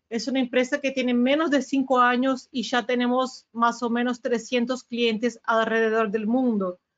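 With a Brazilian accent, a woman speaks at a fairly slow pace in a high, flat, monotone voice with hardly any pauses. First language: Portuguese (speaking Spanish). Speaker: sales manager at a security vendor. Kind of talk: webinar presentation. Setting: webinar video call.

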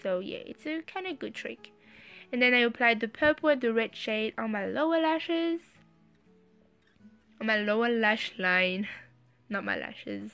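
With a strong French accent, a woman talks at a moderate pace in a fairly high pitch, her intonation lively and her loudness swinging widely, leaving long, frequent pauses over music in the background. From France. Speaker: beauty vlogger. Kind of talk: makeup tutorial voice-over.

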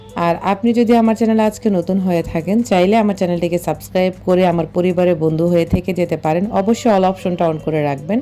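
There is noticeable background noise behind a woman with a fairly low pitch. Her loudness stays very even. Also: ordinary pitch variation. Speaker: lifestyle vlogger. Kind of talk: casual vlog narration.

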